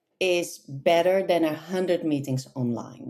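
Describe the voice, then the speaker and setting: With a Dutch accent, a woman speaks in a dark, mellow tone with very wide pitch swings. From Netherlands. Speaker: localization manager. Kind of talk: interview. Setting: podcast. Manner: hesitant, many fillers.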